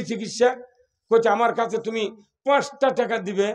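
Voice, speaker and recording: A man with a high pitch speaks with fairly even intonation. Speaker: Islamic preacher. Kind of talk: humorous religious sermon.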